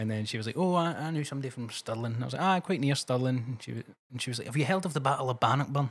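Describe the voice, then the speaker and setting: In a Glasgow accent, a man talks at a very fast pace with hardly any pauses. His pitch is medium, with ordinary variation. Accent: Scottish (Glasgow area). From Scotland, Cumbernauld. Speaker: podcast co-host. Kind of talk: casual chat.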